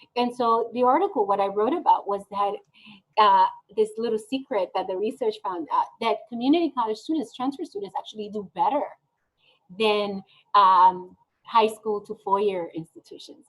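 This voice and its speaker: Pitch rises and falls in an ordinary way. The speech keeps a moderate pace. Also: woman, fairly high pitch for a woman. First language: not English (ESL learner). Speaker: nonprofit executive director. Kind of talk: interview. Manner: animated.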